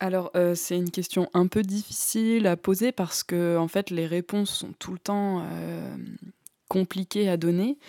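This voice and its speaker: On a very clean recording with a silent background and a dry, close sound with no echo, a woman with a dark, mellow tone speaks at a medium pitch and a fairly slow pace, her intonation fairly even. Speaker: podcast host, young artist. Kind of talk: casual interview.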